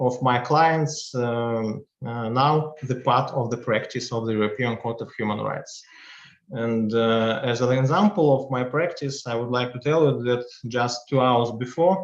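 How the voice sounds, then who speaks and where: In a Russian accent, a man speaks at a fairly slow pace. His pitch is medium, with ordinary pitch variation. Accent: Russian accent, non-native English. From Russia, Chelyabinsk. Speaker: law professor and practicing advocate. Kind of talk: lecture. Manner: halting, many fillers.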